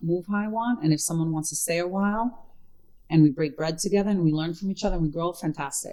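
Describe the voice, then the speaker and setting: Speaking at a very fast pace with a strong Brooklyn accent, a woman uses a fairly low pitch, a dark, mellow tone and ordinary pitch variation. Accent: New York Brooklyn accent, thick. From Brooklyn, New York (South Brooklyn). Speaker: actress and comedian. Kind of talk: casual chat.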